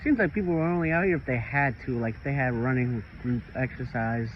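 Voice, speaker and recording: A man speaks with an American accent. His is an unremarkable speaking voice with lively intonation. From North Carolina, Charlotte. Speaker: vlogger. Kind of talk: casual chat. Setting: outdoors.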